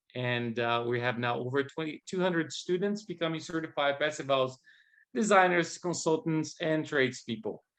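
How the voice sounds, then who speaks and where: At a moderate pace, a man speaks with fairly high pitch and ordinary pitch variation. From Brazil. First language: Portuguese. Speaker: guest host, training manager. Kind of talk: event introduction. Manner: halting.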